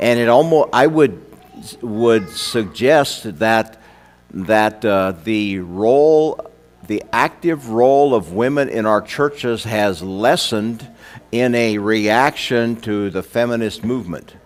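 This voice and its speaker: Against noticeable background noise, a man with a medium-pitched voice talks at a very slow pace. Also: ordinary pitch variation. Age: 60s. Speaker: preacher. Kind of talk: sermon. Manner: halting, many fillers.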